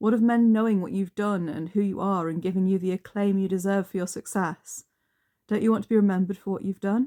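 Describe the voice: Against a quiet background, the voice is plain reading aloud with fairly even intonation.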